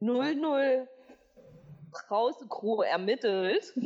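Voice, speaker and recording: Her pitch is fairly high for a woman. It swings very widely as she talks. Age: 20s. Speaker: podcast host. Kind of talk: casual chat. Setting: studio.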